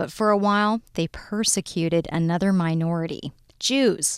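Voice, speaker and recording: An ordinary speaking voice at a moderate pace with ordinary pitch variation. The recording is very clean, dry and close, with a silent background and no echo. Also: woman. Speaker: history segment contributor. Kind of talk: scripted narration.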